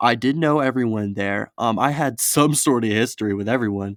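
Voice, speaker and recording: On a very clean recording with a silent background, the man's pitch varies in an ordinary way. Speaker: storytelling YouTuber. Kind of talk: casual storytelling. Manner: fast; animated.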